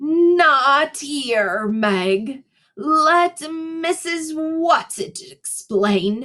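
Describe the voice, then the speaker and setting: Using a put-on character voice, a woman speaks very slowly in a high pitch with very wide pitch swings. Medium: read story. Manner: terse, authoritative.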